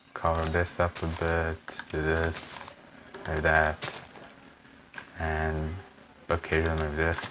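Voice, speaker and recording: The speaker has a non-native accent and talks very slowly with long, frequent pauses. Noticeable background noise runs underneath. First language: not English. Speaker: Minecraft builder and tutorial creator. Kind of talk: tutorial. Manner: casual, halting with fillers. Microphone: poor quality mic.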